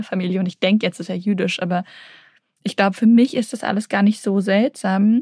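A woman's somewhat breathy voice at medium pitch, with fairly even intonation, a moderate pace and a dry, close sound with no echo. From Berlin, Germany (Kreuzberg). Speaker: novelist. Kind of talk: interview. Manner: hesitant, many fillers.

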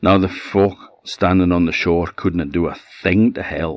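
A man speaks with an Orkney accent, a very deep, low pitch and a dramatic, warm tone. His intonation is fairly even, the pace is fairly slow, and the sound is dry and close with no echo. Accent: Orcadian Scots. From Orkney, Scotland. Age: 60. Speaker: storyteller. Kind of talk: fireside folk-tale storytelling, a true shipwreck legend told aloud. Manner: unhurried, vivid narrative pacing with dramatic emphasis on peril; warm, conversational asides in dialect.

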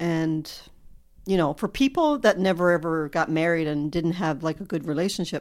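A woman has an ordinary speaking voice, fairly low in pitch with ordinary pitch variation. The recording is very clean, with a silent background. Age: 50s. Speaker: host's mother. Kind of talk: casual interview.

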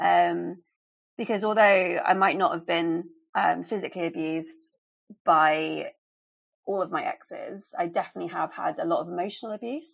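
A southern English accent at a moderate pace. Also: woman. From England. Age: 30s. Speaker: abuse survivor. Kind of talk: personal testimony in interview.

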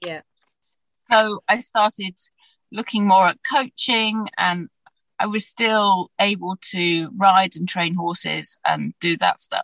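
Very slowly, a woman with a British accent speaks at medium pitch and ordinary pitch variation. The sound is dry and close, without echo. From UK. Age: 40s. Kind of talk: interview.

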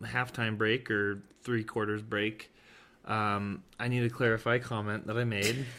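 This man speaks at a moderate pace and medium pitch, his tone bright and sharp, his intonation fairly even. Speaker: podcast host. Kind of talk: casual chat.

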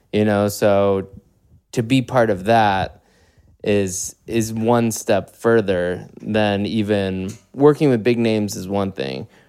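In a very clean recording with a silent background, a man with a Chicago accent speaks at a very slow pace and a fairly low pitch. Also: ordinary pitch variation. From US Midwest, Chicago. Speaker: podcast host and songwriter. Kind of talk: casual interview chat.

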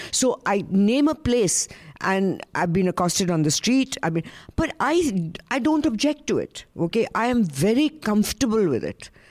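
A woman with an Indian accent talks at a moderate pace in a fairly high pitch, her voice making very wide pitch swings. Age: 70s. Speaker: panelist. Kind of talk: panel discussion.

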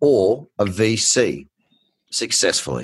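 A man's voice with vocal fry, in an Australian accent. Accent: thick Australian. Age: 20s. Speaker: podcast host and trader. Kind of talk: interview. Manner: animated.

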